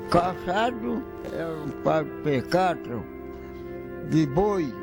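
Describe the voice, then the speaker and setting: Very slow speech from a man, with music in the background. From Minas Gerais, Brazil. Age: 80s+. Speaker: former enslaved person, retired railway worker. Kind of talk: interview answer.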